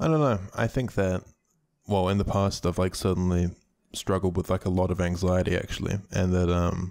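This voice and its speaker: Speaking at a moderate pace, a man with a very deep, low pitch keeps his intonation fairly even and his loudness very even. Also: very clean recording, silent background. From New Zealand. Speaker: YouTuber. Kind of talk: casual interview chat.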